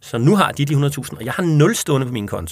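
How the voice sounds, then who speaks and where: A man speaks at a fairly quick pace with a medium pitch and vocal fry. The recording is very clean, with a silent background. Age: 30s. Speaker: chair of a monetary reform association. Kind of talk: interview. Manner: hesitant with fillers.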